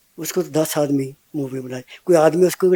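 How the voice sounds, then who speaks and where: Here a man talks in a fairly high, dark, mellow voice with monotone, flat intonation. The sound is dry and close, without echo. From Punjab, India (Patiala district). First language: Punjabi (speaking Hindi). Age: 70s. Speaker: old age home resident, social worker. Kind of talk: interview.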